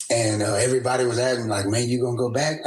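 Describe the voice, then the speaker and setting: A man talks at a very fast pace. He has an American accent and a medium pitch. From New Orleans, Louisiana. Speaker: teacher. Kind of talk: casual podcast interview storytelling. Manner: animated.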